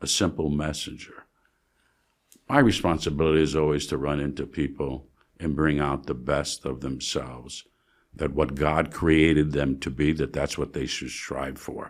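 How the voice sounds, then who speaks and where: Vocal fry at a moderate pace, with monotone, flat intonation. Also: man, very deep, low pitch for a man, very clean recording, silent background. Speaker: Orthodox priest. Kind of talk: interview.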